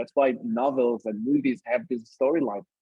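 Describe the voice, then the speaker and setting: Lively intonation from a man with a Brazilian accent and a fairly high pitch. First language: Brazilian Portuguese. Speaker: community lead and author. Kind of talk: online workshop conversation.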